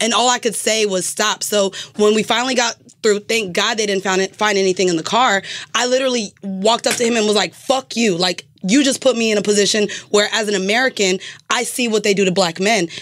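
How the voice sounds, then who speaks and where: A woman talks in a normal speaking voice, fairly high-pitched and fairly quick. Her intonation is fairly even, and her loudness stays very even. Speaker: podcaster. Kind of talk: casual chat. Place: studio. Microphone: studio mic.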